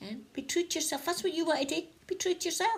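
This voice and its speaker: A woman talks at a very fast pace. She has a northeast Scottish accent. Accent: north-east Scottish (Doric). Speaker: spiritual vlogger. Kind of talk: casual inspirational talk to camera. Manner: chatty, conversational.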